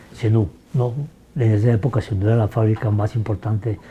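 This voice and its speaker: A dark, mellow, somewhat breathy voice moves along at a fairly quick pace. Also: man. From Fresno, northern Tolima, Colombia. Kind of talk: interview answer.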